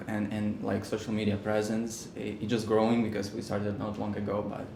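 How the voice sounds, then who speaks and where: A man with a Ukrainian accent speaks at a moderate pace in a fairly low, monotone voice with flat intonation and hardly any pauses, amid noticeable background noise and audible room echo. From Ukraine. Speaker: business partner, video producer. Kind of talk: interview. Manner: halting.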